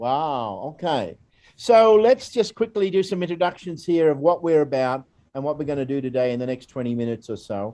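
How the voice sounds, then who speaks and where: Very wide pitch swings at a fairly quick pace, with an Australian accent. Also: man, fairly high pitch for a man. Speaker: educator, volunteer program staff. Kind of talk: presentation. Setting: recorded video. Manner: hesitant, many fillers.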